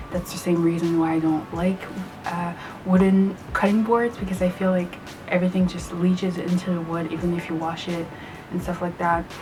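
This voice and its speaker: Music plays in the background. A woman speaks at a fairly low pitch with monotone, flat intonation. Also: moderate pace. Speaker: vegan food vlogger. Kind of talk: casual talk to camera.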